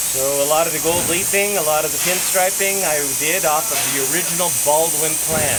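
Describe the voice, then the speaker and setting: A man speaks with ordinary pitch variation. Audible room echo and noticeable background noise fill the recording. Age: 60s. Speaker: museum volunteer, locomotive engineer. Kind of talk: casual interview.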